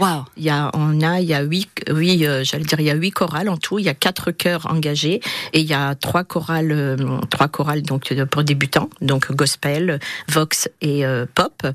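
Fairly slow speech with fairly even intonation comes through over noticeable background noise. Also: woman, very deep, low pitch for a woman. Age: 60s. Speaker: retiree and amateur choir singer. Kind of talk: radio interview. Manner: hesitant, with many fillers.

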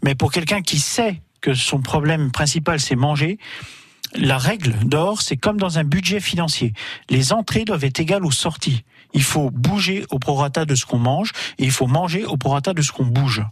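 Speaking at a moderate pace, a man uses a fairly high, somewhat breathy voice with lively intonation and very even loudness. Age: 40s. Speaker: guest sharing life with obesity. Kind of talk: testimony. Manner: halting.

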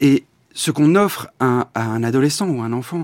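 A man's fairly high voice with lively intonation, dry and close with no echo, on a very clean recording with a silent background. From Belgium. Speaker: film director. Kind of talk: interview. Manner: halting.

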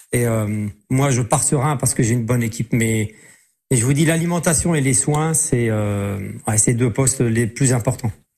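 A man's somewhat breathy voice with a dark, mellow tone, ordinary pitch variation, very even loudness and a moderate pace. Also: medium pitch for a man. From Lorraine, Moselle (Metz). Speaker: race walker, former champion athlete. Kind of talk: radio interview. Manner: halting, many repetitions.

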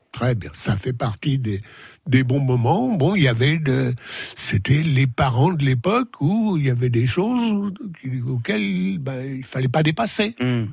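At a very slow pace, a man talks in a somewhat breathy voice. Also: medium pitch for a man, lively intonation. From Sens, Burgundy, France. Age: 80s+. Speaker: guest, retired author of memoir. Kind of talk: radio interview. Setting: studio.

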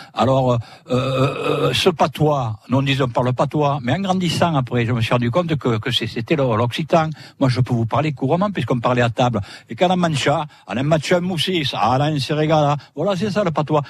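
Over a quiet background, a man with a fairly high, somewhat breathy voice speaks at a fairly slow pace with ordinary pitch variation. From southern France, Sète. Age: 70s. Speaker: retired former photographer defending local cuisine. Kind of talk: live radio interview. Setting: outdoor broadcast in a fishermen's hut.

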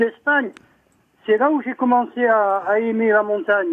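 A man talks at a fairly slow pace. His pitch is extremely high. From Saint-Tropez, Var, France. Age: 70s. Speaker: caller. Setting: phone call.

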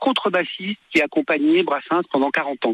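This man's voice sits high in pitch and swings very widely up and down. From born in Tunisia. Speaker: singer. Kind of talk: radio interview. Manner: halting, repeats words. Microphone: bad connection, dropouts.

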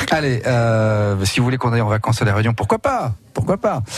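There is noticeable background noise. A man talks at a fairly quick pace with a medium pitch. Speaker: radio host. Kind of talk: casual chat. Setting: studio. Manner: animated.

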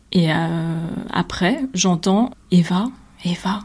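A woman speaks in a fairly low voice. It comes out somewhat breathy. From southern France, Nîmes. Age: 20s. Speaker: visual artist. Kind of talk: testimony.

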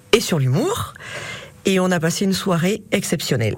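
A woman's fairly low voice over noticeable background noise. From Auvergne, Thiers area. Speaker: bookseller. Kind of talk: radio interview.

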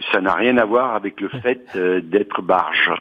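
A man speaks in an ordinary speaking voice. His pitch is fairly low, with ordinary variation. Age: 60s. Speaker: retiree, cooperative housing resident. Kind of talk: interview.

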